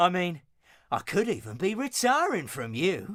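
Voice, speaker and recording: A man's put-on character voice, high-pitched and mumbling, at a moderate pace with very wide pitch swings, on a very clean recording with a silent background. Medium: video game. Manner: dialect grammar, mumbling.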